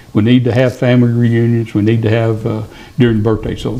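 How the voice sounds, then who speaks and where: A man speaks with an East Tennessee accent. His pitch is medium and his pace fairly quick. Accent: Southern US (East Tennessee). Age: 70s. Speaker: podcast guest, retiree. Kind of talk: casual storytelling interview. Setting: studio.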